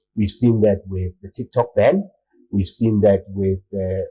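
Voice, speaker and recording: A man with a Zulu accent speaks at a fairly slow pace and a fairly low pitch, with a dark, mellow tone. The sound is dry and close, with no echo. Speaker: marketing lecturer. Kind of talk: panel discussion. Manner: hesitant with many fillers.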